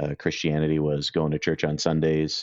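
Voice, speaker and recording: A man speaks with a Cape Breton accent in a very deep, low pitch. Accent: Cape Breton Canadian. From Cape Breton, Nova Scotia, Canada. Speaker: independent IT consultant. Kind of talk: casual interview. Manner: halting, many fillers.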